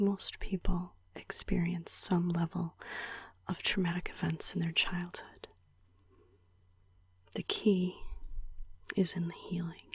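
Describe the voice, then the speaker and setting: Soft-spoken and whispering, a woman speaks at a very slow pace with long, frequent pauses. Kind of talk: ASMR personal video journal about mental health. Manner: whispered, soft-spoken.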